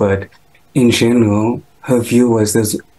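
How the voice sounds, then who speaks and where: The man's voice is somewhat breathy. He talks fairly slowly. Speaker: interviewee. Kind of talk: interview answer. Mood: respectful, mourning. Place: home room. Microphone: video call.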